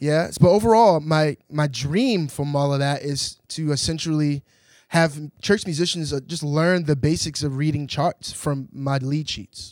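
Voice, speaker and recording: A man with an American accent and a fairly high pitch speaks at a fairly slow pace with ordinary pitch variation, in a plain, everyday voice. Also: very clean recording, silent background. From Baltimore, US. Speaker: jazz drummer and educator. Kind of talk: interview.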